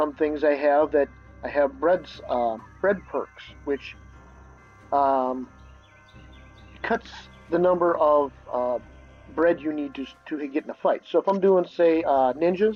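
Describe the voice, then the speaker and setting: A man's fairly high voice with ordinary pitch variation and long, frequent pauses, set against music in the background. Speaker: gamer. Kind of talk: game tutorial voice-over. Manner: hesitant, casual.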